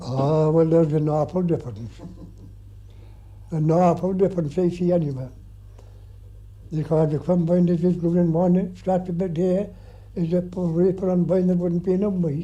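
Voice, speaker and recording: A man's high voice in a rural Irish accent, dark and mellow in tone, with fairly even intonation and long, frequent pauses. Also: moderate pace. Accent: rural Irish (Clare). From County Clare, Ireland. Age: 80s+. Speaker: farmer. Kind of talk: interview answer.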